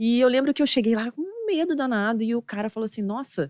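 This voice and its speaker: With a Rio de Janeiro accent, a woman speaks at a very fast pace in an animated tone and a fairly high pitch, with a quiet background and a dry, close sound with no echo. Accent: Rio de Janeiro (carioca). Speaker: investment manager. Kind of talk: podcast interview.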